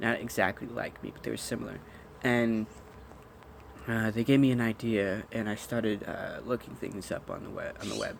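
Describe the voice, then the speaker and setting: Against noticeable background noise, a man talks at a moderate pace in a monotone, flat intonation, his loudness swinging widely. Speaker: vlogger. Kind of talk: personal vent monologue. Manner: halting, many fillers.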